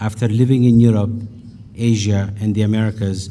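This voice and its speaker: A man's fairly low, dark and mellow voice in an Ethiopian accent, monotone and flat at a moderate pace, with audible room echo. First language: Amharic. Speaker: business leader. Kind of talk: keynote speech.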